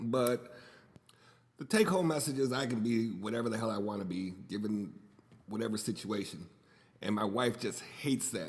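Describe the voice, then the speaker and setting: A man at a medium pitch and moderate pace, with ordinary pitch variation and long, frequent pauses. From US, raised in a Puerto Rican family. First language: Spanish. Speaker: podcast host. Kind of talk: casual monologue. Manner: rambling, conversational with fillers.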